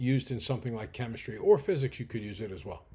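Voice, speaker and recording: A man's somewhat breathy voice. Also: very clean recording, silent background. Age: 60s. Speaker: math instructor. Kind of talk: lecture.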